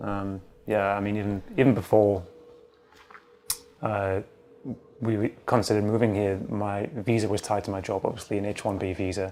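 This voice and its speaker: A man's fairly low, monotone voice with flat intonation and long, frequent pauses over noticeable background noise. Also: moderate pace. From northeast England, County Durham. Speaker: immigrant partner. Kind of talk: interview.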